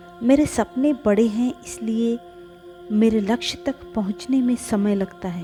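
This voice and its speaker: Music plays in the background as a woman speaks. Her voice is fairly high, with lively intonation. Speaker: reiki and meditation guide. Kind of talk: affirmation reading.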